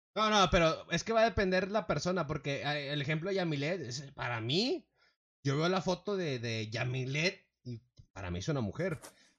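Animated in tone, a man of fairly high pitch speaks at a moderate pace, his pitch swinging very widely. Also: quiet background. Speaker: podcast co-host. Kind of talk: casual chat.

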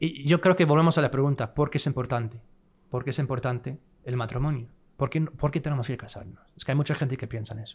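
A man with an English accent speaks at a very fast pace and a medium pitch, somewhat breathy and with ordinary pitch variation, on a very clean recording with a silent background. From California, US (Fresno). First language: English (speaking Spanish). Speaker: podcast guest, married man. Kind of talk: casual chat.

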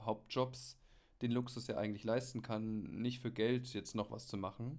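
At a moderate pace, a man with a medium pitch speaks in a flat monotone. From Bavaria (Munich). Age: 30s. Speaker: hobby photographer. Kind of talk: casual chat. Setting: remote call.

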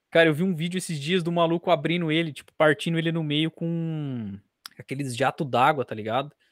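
The man has a fairly high pitch, ordinary pitch variation, and an unremarkable speaking voice. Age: 20s. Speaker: podcast host, journalism student. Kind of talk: casual chat.

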